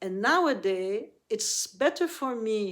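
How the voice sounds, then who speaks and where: A woman's fairly high voice on a very clean recording, background silent. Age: 60s. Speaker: Buddhist meditation teacher. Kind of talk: spiritual teaching talk. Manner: halting.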